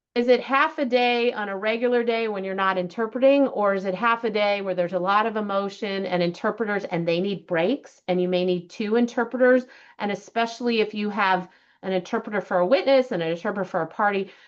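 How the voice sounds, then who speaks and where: A woman speaks at a very fast clip in a medium pitch, with ordinary pitch variation against a quiet background. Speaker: judge. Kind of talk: lecture.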